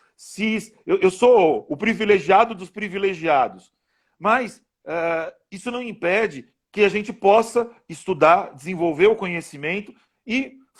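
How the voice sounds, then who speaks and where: A man with a São Paulo accent speaks at a high pitch, with ordinary pitch variation and big swings in loudness. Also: fairly slow pace, very clean recording, silent background. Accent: São Paulo Brazilian Portuguese. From Brazil, São Paulo. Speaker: law professor. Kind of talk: interview in a live stream. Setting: Instagram live video stream. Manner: hesitant, with fillers and repeated words.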